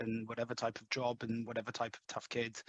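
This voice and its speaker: A man with an English accent talks at a very fast pace. The sound is dry and close, with no echo. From London, England. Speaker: head of sales. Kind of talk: podcast interview. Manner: hesitant, many fillers.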